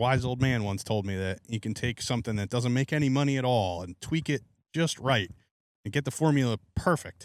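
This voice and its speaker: On a very clean recording with a silent background and a dry, close sound with no echo, a man speaks in an unremarkable speaking voice with ordinary pitch variation. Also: medium pitch for a man. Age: 30s. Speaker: farmer. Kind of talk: casual chat.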